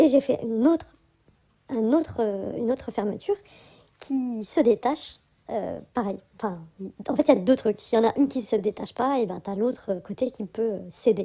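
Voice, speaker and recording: A woman with a fairly high pitch speaks at a moderate pace with ordinary pitch variation. Her speech has long, frequent pauses. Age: 40s. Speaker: spiritual vlogger. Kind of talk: casual vlog monologue. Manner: hesitant, many fillers.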